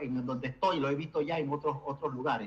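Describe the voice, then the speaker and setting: This is a man's voice. Behind him, there is noticeable background noise. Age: 70s. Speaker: programmer. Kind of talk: online meeting discussion. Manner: halting.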